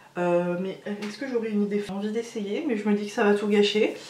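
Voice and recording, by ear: A woman talks at a fairly quick pace with a medium pitch and ordinary pitch variation. Her tone is slightly mellow, and the room echo is audible.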